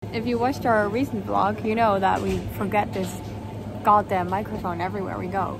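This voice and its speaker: A woman speaks at a moderate pace with long, frequent pauses. The sound is dry with no echo, and there is noticeable background noise. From Netherlands. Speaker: vlogger. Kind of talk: casual vlog talk to camera. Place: cafe. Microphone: lapel.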